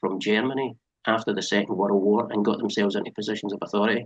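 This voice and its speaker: A man at a very fast pace with a fairly low pitch. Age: 60s. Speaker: former driving instructor. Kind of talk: interview. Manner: animated.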